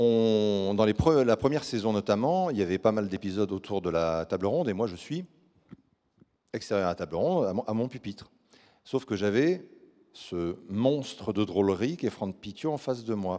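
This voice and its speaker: A man speaks at a moderate pace in a fairly low pitch, with a dark, mellow tone. His intonation is lively, and the background is quiet. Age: 40s. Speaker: actor at a fan convention. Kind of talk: live Q&A panel. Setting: stage with audience. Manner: animated. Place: stage. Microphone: handheld.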